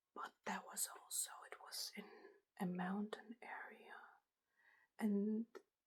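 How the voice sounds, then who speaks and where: Soft-spoken and relaxed in tone, a woman talks at a very slow pace with long, frequent pauses. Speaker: ASMR content creator. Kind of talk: lo-fi ASMR show and tell, casual talk to camera. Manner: soft-spoken, relaxed.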